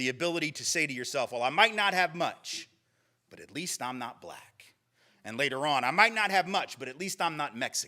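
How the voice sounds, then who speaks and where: With a Southern US accent, a man speaks at a fairly high pitch and a fairly quick pace, his tone animated, his intonation lively, and his loudness swinging widely. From US South. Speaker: lecturer. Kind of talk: lecture.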